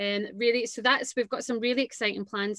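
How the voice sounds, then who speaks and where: In a Glaswegian accent, a woman talks at a fairly quick pace with monotone, flat intonation, over a quiet background in a dry sound with no echo. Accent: Glaswegian Scottish. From Scotland, Renfrew near Glasgow. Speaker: entrepreneur, dance school founder. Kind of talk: casual interview. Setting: video call. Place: home room. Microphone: video call.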